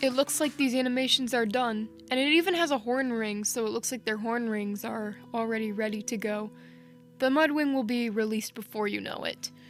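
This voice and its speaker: A woman's fairly high voice at a fairly quick pace, ordinary pitch variation, music in the background. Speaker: gaming YouTuber. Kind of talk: casual vlog commentary. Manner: stuttering.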